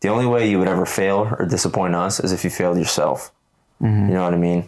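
A man talks at a very fast pace. His pitch is very deep and low. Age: 20s. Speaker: podcast co-host. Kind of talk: casual chat.

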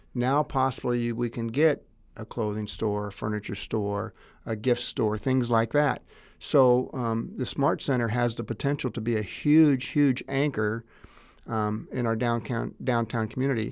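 A man with an unremarkable speaking voice talks at medium pitch and a fairly slow pace, with ordinary pitch variation. The recording is very clean, with a silent background. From Greenville, US. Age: 50s. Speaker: banker and chamber of commerce president. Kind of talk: interview.

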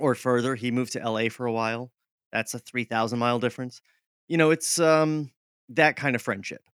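A man with an American accent speaks at a fairly quick pace in a plain, everyday voice, his medium pitch showing ordinary variation in a dry, close sound with no echo. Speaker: podcaster. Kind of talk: interview.

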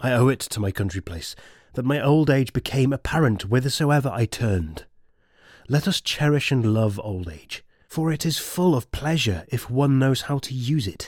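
A somewhat breathy man at medium pitch, lively intonation and a moderate pace, on a very clean recording with a silent background. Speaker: audiobook narrator. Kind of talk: literary audiobook reading of a classical letter, in first person as Seneca.

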